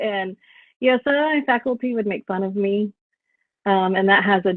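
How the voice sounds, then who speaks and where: A woman with an American accent speaks at medium pitch and a moderate pace, with ordinary pitch variation. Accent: Southern Texan accent, somewhat worked on. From rural West Texas. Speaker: professor. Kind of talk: interview. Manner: many fillers and restarts.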